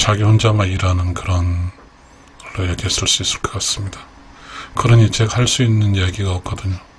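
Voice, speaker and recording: Amid noticeable background noise, a man talks at a fairly quick pace in a monotone, flat intonation, with long, frequent pauses. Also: fairly low pitch for a man. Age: 60s. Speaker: YouTube creator, retiree. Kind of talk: late-night radio-style personal talk. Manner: halting, many fillers.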